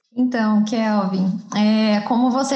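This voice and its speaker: In a room with audible echo, a woman with a fairly high pitch speaks at a very slow pace in a monotone, flat intonation. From southern Minas Gerais, Brazil. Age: 20s. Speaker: architect. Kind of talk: podcast interview.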